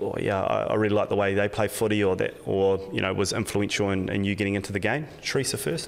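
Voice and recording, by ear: A man's fast speech, fairly low in pitch, with vocal fry.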